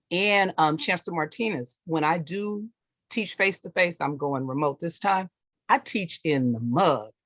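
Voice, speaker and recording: A woman with a fairly low pitch speaks at a moderate pace with lively intonation, the sound dry and close with no echo against a quiet background. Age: 60s. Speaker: college instructor. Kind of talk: question at open forum. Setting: video call.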